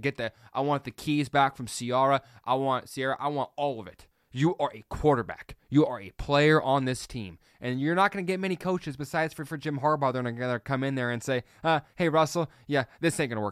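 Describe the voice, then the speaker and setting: Speaking at a fairly quick pace with ordinary pitch variation and big swings in loudness, the voice comes through dry and close with no echo on a very clean recording with a silent background. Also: man, fairly high pitch for a man. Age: 30s. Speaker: sports podcast host. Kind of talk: casual solo sports commentary. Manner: fast, tongue-tied.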